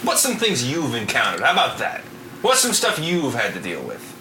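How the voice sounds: The pitch swings very widely at a moderate pace. The tone is bright and sharp, with audible room echo. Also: man, medium pitch for a man.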